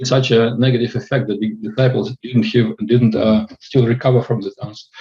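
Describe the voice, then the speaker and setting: A man with a dark, mellow, somewhat breathy tone talks at a moderate pace with fairly even intonation. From Russia (Far East). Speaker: student asking a question. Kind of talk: Q&A question. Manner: halting.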